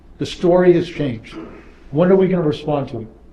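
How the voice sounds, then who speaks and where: Noticeable background noise and audible room echo accompany a man with an American accent speaking at a very fast pace with ordinary pitch variation. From New York, Brooklyn. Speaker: property developer. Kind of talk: panel discussion. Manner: repetitive stammering starts.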